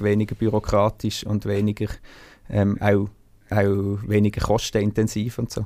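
A man talks at a moderate pace in a dark, mellow tone. His fairly low voice stays monotone and flat. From Switzerland, Basel-Landschaft. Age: 30s. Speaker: singer and band frontman. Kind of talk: interview. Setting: video call from a music studio.

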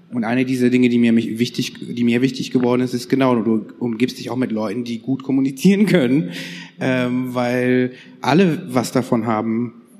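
A man talks in a medium-pitched voice against noticeable background noise. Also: ordinary pitch variation, moderate pace. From northern Germany. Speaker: podcast host. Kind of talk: casual chat.

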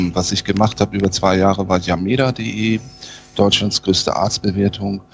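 With noticeable background noise in the mix, a man's fairly low voice comes through. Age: 50s. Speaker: sales and marketing consultant. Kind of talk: interview.

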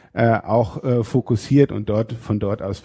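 A man's voice comes through dark and mellow. The recording is very clean and the background is silent. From northern Germany, Schleswig-Holstein (Fehmarn). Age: 30s. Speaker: state parliament politician. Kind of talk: interview. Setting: state parliament building. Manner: frequent hesitations (äh).

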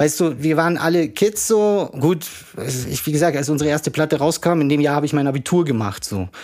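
A man speaks at a fairly quick pace in a plain, everyday voice. His pitch sits fairly high, with ordinary variation. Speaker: rapper and family doctor. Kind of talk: casual interview.

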